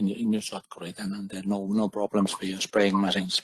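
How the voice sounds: A man speaks with a fairly low pitch and a slightly husky edge. The sound is dry and close, with no echo.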